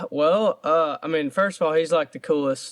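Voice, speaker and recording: A man speaks at a very fast pace. His voice is fairly high, with ordinary pitch variation. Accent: Georgia. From US South, Georgia (Statesboro). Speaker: country singer. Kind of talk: casual interview. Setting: video call. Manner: halting.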